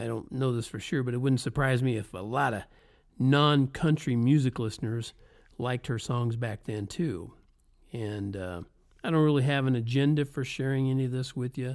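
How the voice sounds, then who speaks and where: At a moderate pace and medium pitch, a man with a slight Southern US accent speaks with ordinary pitch variation in a very clean recording with a silent background. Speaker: podcaster, former road musician. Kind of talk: casual monologue.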